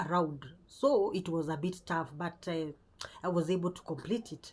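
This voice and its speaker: A woman speaks in a somewhat breathy, fairly low voice. Her pace is moderate and her pitch varies in an ordinary way. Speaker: spiritual content creator. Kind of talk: spiritual talk to camera. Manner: halting.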